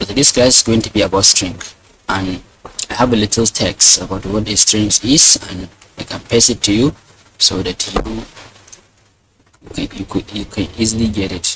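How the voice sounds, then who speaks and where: A man with a non-native accent, fairly low pitch and fairly even intonation, with long, frequent pauses. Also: moderate pace. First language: not English. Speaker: programming teacher. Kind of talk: tutorial. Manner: hesitant, many fillers and repeats.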